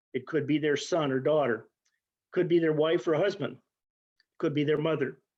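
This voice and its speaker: A man talks at a fairly high pitch. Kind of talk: interview answer.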